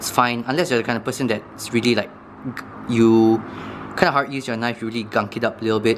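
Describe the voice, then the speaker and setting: There is noticeable background noise behind a man's voice. He speaks at a medium pitch and a very fast pace. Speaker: knife review youtuber. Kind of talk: tutorial. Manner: casual, hesitant with fillers.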